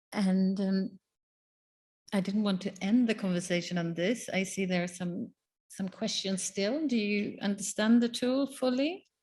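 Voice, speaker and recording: At a fairly slow pace, a woman speaks at medium pitch with ordinary pitch variation. Her voice is somewhat breathy. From Sweden. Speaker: panel moderator. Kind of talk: panel discussion. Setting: conference room with audience.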